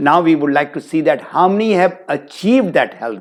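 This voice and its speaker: With lively intonation, a plain, everyday voice talks at a moderate pace. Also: man. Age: 60s. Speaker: motivational speaker and business trainer. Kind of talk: webinar talk. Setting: online webinar.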